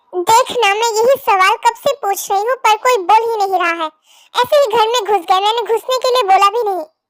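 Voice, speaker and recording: A woman uses a put-on character voice at an extremely high pitch. She moves at a fairly quick pace. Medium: read story. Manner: sharp, confrontational.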